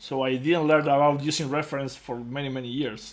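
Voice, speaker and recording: A man with a non-native accent talks at a medium pitch in a monotone, flat intonation. Audible room echo surrounds his voice. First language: not English. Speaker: digital sculptor. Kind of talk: casual chat.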